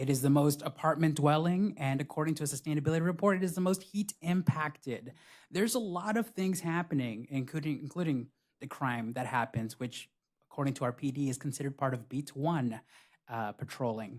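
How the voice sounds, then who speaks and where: Speaking at a fairly quick pace, a man with a Spanish accent uses a fairly high pitch with ordinary pitch variation on a very clean recording with a silent background. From Buena Park, Southern California. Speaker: city council candidate. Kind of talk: candidate forum answers. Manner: occasional hesitations and restarts.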